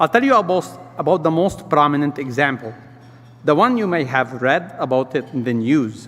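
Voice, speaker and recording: Over noticeable background noise, a man with a non-native accent speaks at a moderate pace, his fairly high pitch showing ordinary variation. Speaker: restaurant business owner and community leader. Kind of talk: speech at a luncheon event.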